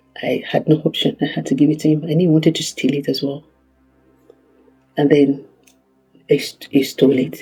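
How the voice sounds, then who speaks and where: Over music in the background, a man with a Nigerian accent talks at a fairly high pitch in fairly even intonation. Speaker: kidnapping survivor. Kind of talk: testimony. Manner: halting.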